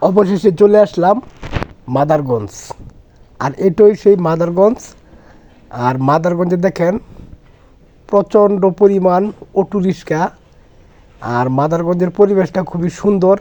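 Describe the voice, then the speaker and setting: A man's high-pitched voice has a dark, mellow tone and ordinary pitch variation. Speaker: travel vlogger. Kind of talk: travel vlog narration.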